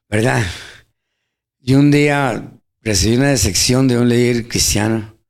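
Amid audible room echo, a man speaks fairly slowly at a medium pitch with ordinary variation, very even loudness, and long, frequent pauses. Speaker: church member co-host. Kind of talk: radio Bible teaching chat. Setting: radio studio.

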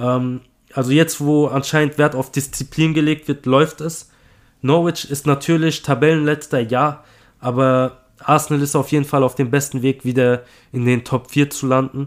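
A fairly high-pitched man's voice in a monotone, flat intonation at a moderate pace. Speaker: football podcast co-host. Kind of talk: casual chat.

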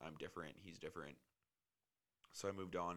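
A man speaks with a very deep, low pitch, vocal fry, a bright, sharp tone and ordinary pitch variation. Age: 30s. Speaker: podcast host. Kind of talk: casual chat. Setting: home recording room.

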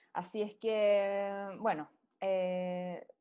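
A woman with a Chilean accent has a fairly high pitch and a dark, mellow tone, delivered in a monotone, flat intonation. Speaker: news segment presenter. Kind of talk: news roundup.

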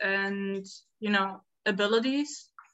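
A woman with a German accent speaks very slowly, her pitch varying in an ordinary way. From Berlin, Germany. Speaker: volunteer at an education center. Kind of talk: casual interview chat.

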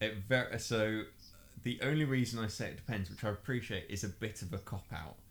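Fairly low male speech, somewhat breathy, with ordinary pitch variation. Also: fairly quick pace. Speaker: podcast co-host. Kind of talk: casual chat.

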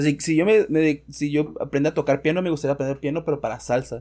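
A man with a Mexican accent speaks at a fairly quick pace with fairly even intonation. His voice is fairly high in pitch with a dark, mellow tone. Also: very clean recording, silent background. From Mexico. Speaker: podcast host. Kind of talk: casual chat.

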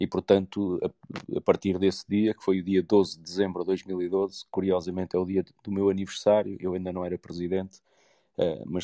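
A man speaks at a moderate pace in a very deep, low pitch with a dark, mellow tone. His intonation is monotone and flat, and the sound is dry and close with no echo. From Porto, northern Portugal. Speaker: football club president. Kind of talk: interview.

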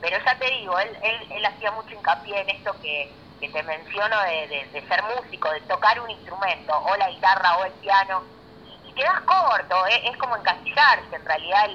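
With lively intonation and a medium pitch, a woman speaks at a moderate pace over noticeable background noise. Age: 30s. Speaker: DJ. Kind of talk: interview.

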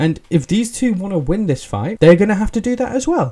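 Someone speaks at a fairly quick pace with an English accent. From England. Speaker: podcast host. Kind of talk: casual solo commentary. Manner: hesitant, many fillers.

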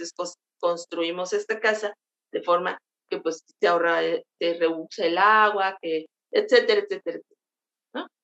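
A woman's fairly slow speech with big swings in loudness, recorded with a dry, close sound and no echo. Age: 50s. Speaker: travel blogger. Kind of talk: interview.

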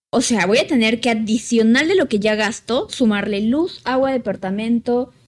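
A woman's fairly high voice, an ordinary speaking voice, with very even loudness, a moderate pace and ordinary pitch variation. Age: 20s. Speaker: podcast co-host. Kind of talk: casual chat. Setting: living room at home.

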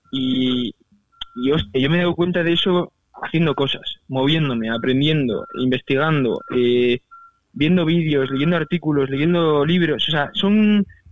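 Fairly slow delivery with very even loudness and ordinary pitch variation. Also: man, fairly high pitch for a man. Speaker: university student and entrepreneur. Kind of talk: interview. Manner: casual, halting.

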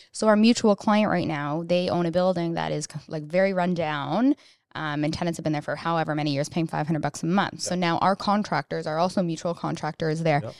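A woman with a Canadian accent talks fairly quickly at a fairly low pitch. She has a plain, everyday voice with ordinary pitch variation. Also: very clean recording, silent background. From Canada. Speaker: podcast co-host, real estate agent. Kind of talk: casual interview.

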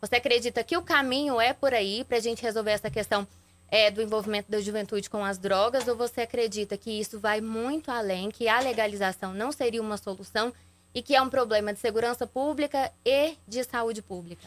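A woman with a fairly high pitch and ordinary pitch variation speaks in an unremarkable speaking voice on a very clean recording with a silent background. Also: fairly quick pace. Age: younger than the host. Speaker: journalist and TV news anchor. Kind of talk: interview questions. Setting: radio and TV studio.

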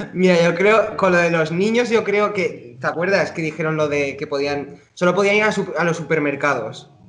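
A man speaks at a moderate pace with hardly any pauses. His pitch is high, with ordinary pitch variation. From Spain (Zaragoza, Aragon). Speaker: podcast co-host, dancer. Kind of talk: casual chat.

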